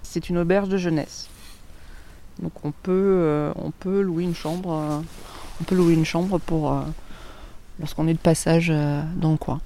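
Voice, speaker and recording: A woman talks at a fairly slow pace with long, frequent pauses. Her pitch is fairly low and her intonation monotone and flat. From southern France, Avignon. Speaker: winemaker. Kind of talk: casual chat.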